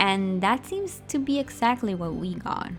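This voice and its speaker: A woman speaks at a medium pitch. Music plays in the background. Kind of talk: fan commentary rant over speedpaint. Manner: fast.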